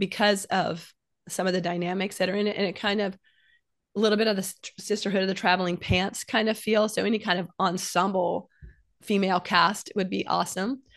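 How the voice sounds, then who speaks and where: A normal speaking voice moves at a fairly quick pace with fairly even intonation over a quiet background. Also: woman. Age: 60s. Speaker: novelist. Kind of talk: casual chat.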